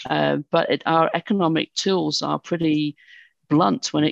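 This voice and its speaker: A woman's voice, dry and close with no echo, over a quiet background. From United Kingdom. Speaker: university dean and climate policy expert. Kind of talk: interview conversation.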